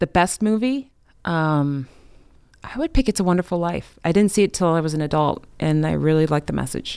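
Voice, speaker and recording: An unremarkable speaking voice with an American accent moves at a fairly quick pace. The intonation is lively. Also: woman, fairly low pitch for a woman. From Chicago. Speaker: morning news anchor. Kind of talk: casual interview chat.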